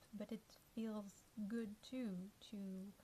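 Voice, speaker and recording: Somewhat breathy, a woman's voice holds a medium pitch and fairly even intonation. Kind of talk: casual talk to camera.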